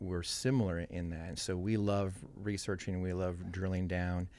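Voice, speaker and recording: A man speaks in a very deep, low voice with monotone, flat intonation. The recording is very clean, with a silent background. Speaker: pastor and worship leader. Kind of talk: casual chat. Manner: mumbling; halting, many fillers.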